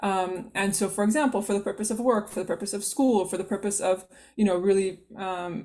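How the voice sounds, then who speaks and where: At a fairly quick pace, a woman of medium pitch speaks in a dark, mellow tone with fairly even intonation. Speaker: workshop presenter on Islamic guidelines. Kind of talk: online workshop lecture. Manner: fast.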